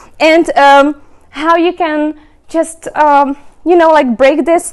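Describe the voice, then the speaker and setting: Speaking with a Czech accent, this woman has a high voice. Her pace is very slow. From Czech Republic. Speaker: remote work advocate, speaker. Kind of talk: event presentation. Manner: halting, many fillers.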